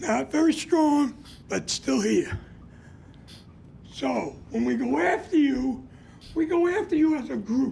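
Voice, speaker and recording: The speech moves at a very slow pace with long, frequent pauses and noticeable background noise. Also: man. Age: 70s. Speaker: community activist. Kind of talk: public comment.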